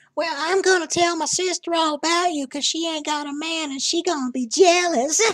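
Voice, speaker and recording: Using a put-on character voice, a woman speaks at an extremely high pitch with fairly even intonation. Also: fairly quick pace, hardly any pauses. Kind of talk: comic put-on persona. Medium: voice reel. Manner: rambling, folksy, doting.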